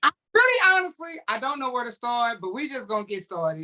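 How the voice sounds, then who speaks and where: With a fairly high, bright, sharp voice, a woman speaks in an animated tone across very wide pitch swings. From St. Louis, US Midwest. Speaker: gospel interview show host. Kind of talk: interview.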